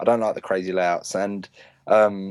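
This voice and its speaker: Speaking at a fairly quick pace with a London accent, a man uses a fairly low pitch and fairly even intonation, his sound dry and close with no echo. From North London, England. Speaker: professional paintball player. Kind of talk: casual chat.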